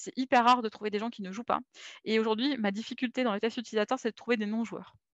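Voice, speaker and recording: A woman with a fairly high voice talks at a very fast pace, her intonation fairly even. The sound is dry and close with no echo, against a quiet background. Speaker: UX designer for games. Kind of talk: conference talk.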